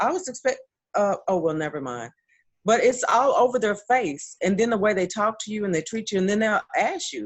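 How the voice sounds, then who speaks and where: A woman at a fairly high pitch and fairly quick pace, with very wide pitch swings. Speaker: model and panelist. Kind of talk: casual panel discussion. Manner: articulate, proper diction.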